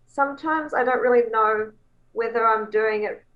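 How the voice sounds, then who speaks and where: A woman with a New Zealand accent speaks at a fairly high pitch. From New Zealand, Coromandel Peninsula. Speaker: songwriter. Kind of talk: interview. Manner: animated.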